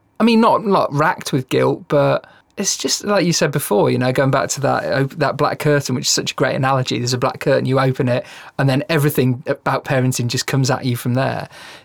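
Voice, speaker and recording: A man's fairly high-pitched voice with vocal fry, at a very fast pace. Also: ordinary pitch variation. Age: 40s. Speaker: podcast host. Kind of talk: casual chat.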